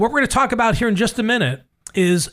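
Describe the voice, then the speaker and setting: Here a man talks at a fairly quick pace with lively intonation. The recording is very clean, the background silent. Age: 60s. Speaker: radio host. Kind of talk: casual chat.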